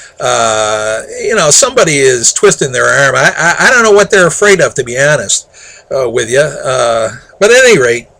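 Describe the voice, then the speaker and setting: Noticeable background noise runs beneath a man talking at a moderate pace. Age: 60s. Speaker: local political commentator. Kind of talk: opinion monologue. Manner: halting, repeats words; exasperated.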